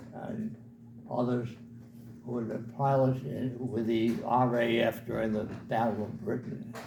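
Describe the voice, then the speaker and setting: A man's flat, monotone delivery at a fairly slow pace, with long, frequent pauses and audible room echo. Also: medium pitch for a man. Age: 80s+. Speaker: war veteran. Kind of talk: storytelling. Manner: halting.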